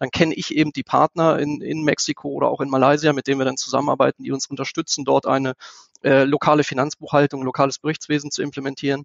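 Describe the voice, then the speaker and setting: A man with a fairly high pitch rattles along at a very fast pace in a monotone, flat intonation. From Lower Saxony, Germany (Einbeck). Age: 40s. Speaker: business executive. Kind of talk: interview. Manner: hesitant, many filler sounds.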